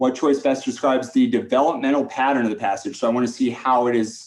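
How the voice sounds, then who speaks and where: A man with a normal speaking voice at a medium pitch and a moderate pace. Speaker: test prep teacher. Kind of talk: tutorial think-aloud. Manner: casual, filler-heavy.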